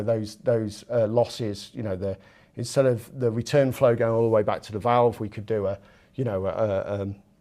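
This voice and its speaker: A man's dark, mellow voice in a British accent, fairly quick in pace, in a very clean recording with a silent background. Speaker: engineering product director giving a technical lecture. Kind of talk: technical lecture. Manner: fast; halting, many fillers and repetitions.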